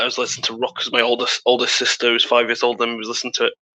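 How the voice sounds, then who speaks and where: Talking at a very fast pace, a man speaks with a British accent. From UK. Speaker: podcast co-host. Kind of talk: casual chat.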